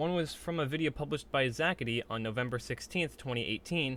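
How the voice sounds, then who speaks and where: Very fast male speech, fairly high in pitch, with ordinary pitch variation. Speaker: YouTube commentator. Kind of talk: commentary video replying to comments.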